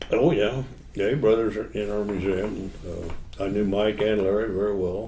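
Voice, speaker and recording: A man with a fairly low voice speaks at a moderate pace with fairly even intonation. Audible room echo surrounds him. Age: 80s+. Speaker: custom car builder. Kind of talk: interview. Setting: model car show.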